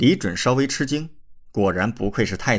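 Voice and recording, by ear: The speaker is reading aloud in a natural voice with lively intonation.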